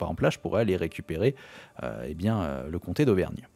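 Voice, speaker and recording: With vocal fry, a man speaks in a very deep, dark and mellow voice, his intonation lively. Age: 30s. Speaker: gaming YouTuber. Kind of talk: let's play commentary. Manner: hesitant, many filler sounds.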